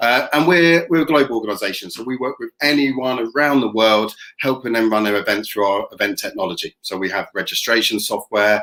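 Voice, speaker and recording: A man with a British accent, a bright, sharp tone, ordinary pitch variation and a fairly quick pace. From England. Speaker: tech company representative; presenter. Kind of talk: product presentation. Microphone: webcam.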